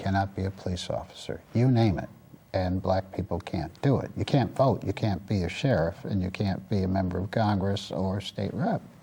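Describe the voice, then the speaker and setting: Here is a man with a normal speaking voice and a fairly low pitch. He keeps a moderate pace and fairly even intonation. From US Midwest, Detroit. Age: 60s. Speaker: community advocate and former state senator. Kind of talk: interview.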